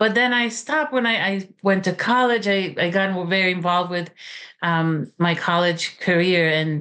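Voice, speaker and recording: A woman speaks with a Romanian accent at a moderate pace. Her loudness stays very even. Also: medium pitch for a woman, ordinary pitch variation. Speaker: author and college teacher. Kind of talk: interview. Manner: halting, many fillers.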